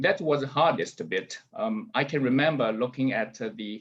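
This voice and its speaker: With a Chinese accent, a man talks at a fairly slow pace and makes very wide pitch swings. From rural China. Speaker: author and businessman. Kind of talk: book launch talk.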